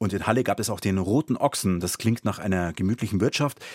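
Talking at a fairly quick pace, a man uses a normal speaking voice with ordinary pitch variation and a dry, close sound with no echo. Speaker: podcast host. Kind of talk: podcast narration, explanatory history chat. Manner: clear, measured, informative.

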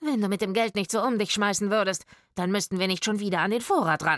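A woman puts on a shrill, raspy character voice at a medium pitch, talking at a very fast pace with ordinary pitch variation and very even loudness. The recording is very clean, with a silent background. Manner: shrill, scolding; snapping back in an argument.

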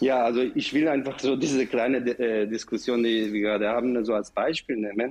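At a fairly quick pace, a man with an Israeli accent speaks at medium pitch and very even loudness. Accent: Israeli accent in German, noticeable. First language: Hebrew (speaking German). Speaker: professor and director of an education center. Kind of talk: radio panel discussion. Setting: remote line from another city. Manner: halting, with many fillers.

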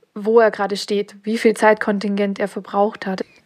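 A woman talks at a moderate pace. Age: 30s. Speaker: freelance graphic designer. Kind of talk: coaching session. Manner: halting, many fillers.

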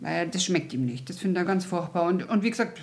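A woman speaks in a somewhat breathy voice with very wide swings in pitch. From Munich, Bavaria. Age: 50s. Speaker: podiatrist. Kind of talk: interview, casual.

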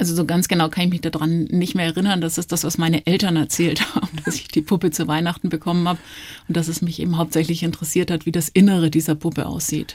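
Speaking at a very fast pace, a woman keeps a monotone, flat intonation at a fairly low pitch. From Nuremberg, Franconia (Germany). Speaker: virologist, medical professor. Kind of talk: radio interview. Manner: relaxed, calm.

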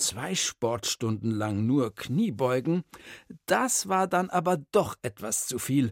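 Speech unfolds at a very slow pace. The recording is very clean, and the background is silent. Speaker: storyteller. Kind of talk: reading aloud.

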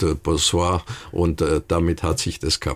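Speaking at a fairly slow pace, a man has a very deep, low voice. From Bavarian Swabia (Memmingen). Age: 80s+. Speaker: retired restaurateur, interviewee. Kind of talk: interview. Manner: halting, many fillers.

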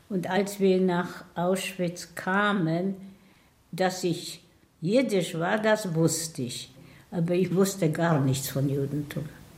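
In a room with audible echo, a woman with a fairly low voice speaks at a very slow pace with ordinary pitch variation. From Poland (Tomaszów near Łódź), later Israel. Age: 80s+. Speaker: Holocaust survivor. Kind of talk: testimony.

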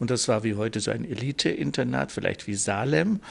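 A man speaks. His voice has vocal fry. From Lower Bavaria (Landshut), raised in Munich. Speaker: nobleman. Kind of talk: interview.

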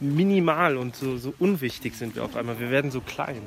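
Amid noticeable background noise, a man talks at medium pitch. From Germany. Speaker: hiker. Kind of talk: casual chat.

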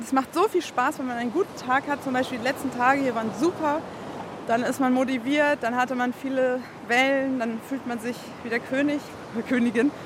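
Fairly quick speech with fairly even intonation amid noticeable background noise. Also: woman. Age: 30s. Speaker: amateur surfer. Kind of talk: interview.

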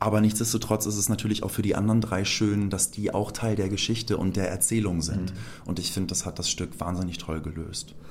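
A man with an ordinary speaking voice and fairly low pitch talks at a fairly quick pace with hardly any pauses. His intonation stays fairly even. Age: 30s. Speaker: musical actor. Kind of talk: interview.

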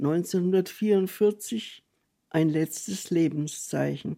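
A woman's dark, mellow tone with ordinary pitch variation, in a very clean recording against a silent background. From Franconia, Fürth, later South Africa. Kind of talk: reading aloud.

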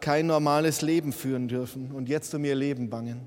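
A man talks at a moderate pace. His voice carries audible room echo. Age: 50s. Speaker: bishop. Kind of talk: sermon. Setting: church.

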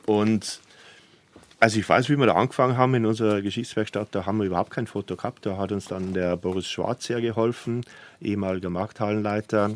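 A man at a very fast pace, his voice fairly low with fairly even intonation. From Lower Bavaria, Germany. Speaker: publisher. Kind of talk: radio interview. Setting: studio.

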